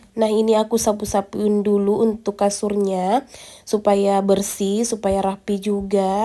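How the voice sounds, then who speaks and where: Dark, mellow tone from a woman at medium pitch. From rural Indonesia. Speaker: vlogger, stay-at-home mother. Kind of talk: vlog voice-over. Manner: casual, chatty; stumbling over words.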